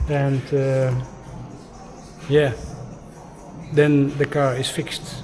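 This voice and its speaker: Music plays behind a man speaking at a fairly slow pace. The room echo is audible. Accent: Dutch. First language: Dutch. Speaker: travel vlogger. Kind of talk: casual vlog narration. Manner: halting.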